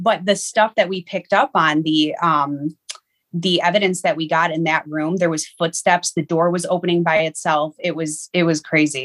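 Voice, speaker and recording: A woman in an American accent with a normal speaking voice, fairly low in pitch, at a moderate pace with fairly even intonation and a dry, close sound with no echo. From Niagara Falls, New York. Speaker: medium. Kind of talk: interview.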